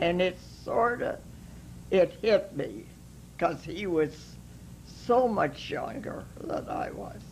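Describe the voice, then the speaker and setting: Very slowly and with long, frequent pauses, a woman speaks as her loudness swings widely. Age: 80s+. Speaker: interview guest. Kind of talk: interview answer.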